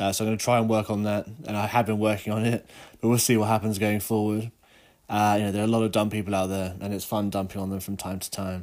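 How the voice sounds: A man talks at a fast pace with a nasal, slightly mellow tone. His pitch is fairly low and shows little movement.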